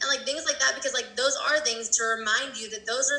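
Over noticeable background noise, a woman projects her raised, high-pitched voice at a fairly quick pace. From Colorado. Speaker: abuse recovery coach. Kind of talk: casual interview.

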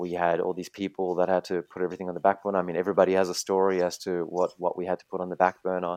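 A man with a very deep, low voice, rattling along at a very fast pace in a monotone, flat delivery with hardly any pauses, the sound dry and close with no echo, the background quiet. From Germany, raised in Australia from teens. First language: German. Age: 30s. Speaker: online entrepreneur and designer. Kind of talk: casual interview chat. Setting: video call.

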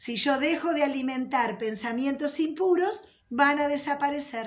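Ordinary pitch variation with audible room echo. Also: woman. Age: 50s. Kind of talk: religious teaching. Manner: warm, conversational.

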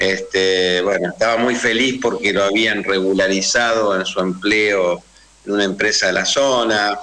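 At a fairly slow pace, a man speaks with a fairly low pitch, fairly even intonation and very even loudness. Noticeable background noise is present. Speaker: human rights lawyer. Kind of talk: radio interview.

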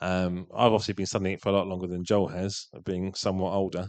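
A man's unremarkable speaking voice, fairly low in pitch, at a moderate pace against a quiet background. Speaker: congregation member sharing group discussion. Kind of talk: group feedback in church.

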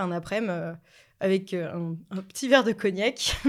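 On a very clean recording with a silent background, a woman with a plain, everyday voice speaks at a moderate pace, medium in pitch with ordinary pitch variation. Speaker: podcast guest, film fan. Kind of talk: casual chat.

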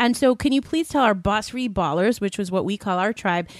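A woman with an ordinary speaking voice at a fairly quick pace, lively in intonation, over a very clean recording with a silent background. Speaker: podcast co-host. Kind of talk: interview. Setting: studio.

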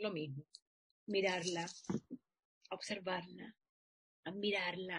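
A woman at medium pitch talks at a very slow pace. She leaves long, frequent pauses. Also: fairly even intonation. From Chile, Santiago (La Florida). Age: 40s. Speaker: actress. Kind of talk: interview.

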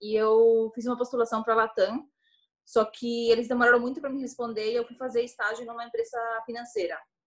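A woman at a very fast pace, fairly high in pitch, with monotone, flat intonation. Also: big swings in loudness. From Chile, Santiago. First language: Spanish (speaking Portuguese). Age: 30s. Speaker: airline employee and traveler. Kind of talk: casual interview chat.

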